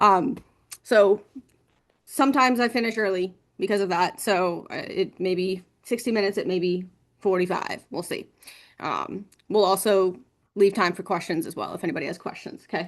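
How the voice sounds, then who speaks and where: Against a quiet background, a woman talks at a medium pitch with ordinary pitch variation and long, frequent pauses. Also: moderate pace. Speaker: marketing agency presenter. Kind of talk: webinar presentation.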